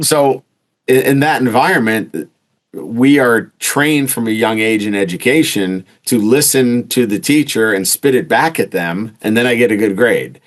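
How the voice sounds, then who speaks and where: With a New York accent, a man speaks at a moderate pace and a medium pitch. His pitch varies in an ordinary way. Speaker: entrepreneur. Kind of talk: interview conversation. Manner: blunt, direct.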